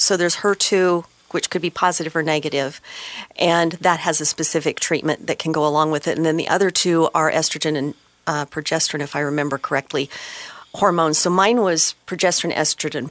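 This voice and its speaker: A woman with a normal speaking voice talks at a fairly quick pace in a fairly low pitch with ordinary pitch variation, in a dry, close sound with no echo. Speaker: banking executive guest. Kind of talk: interview discussion. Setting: radio studio.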